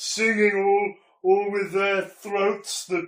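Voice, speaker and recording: With a slight echo, a man does a put-on character voice at a very slow pace, high in pitch for a man. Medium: stage play. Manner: wistful, theatrical.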